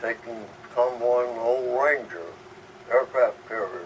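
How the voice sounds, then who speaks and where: Noticeable background noise runs under a man with an American accent. He talks at a medium pitch and a fairly slow pace. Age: 80s+. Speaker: WWII Navy veteran. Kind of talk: interview answer.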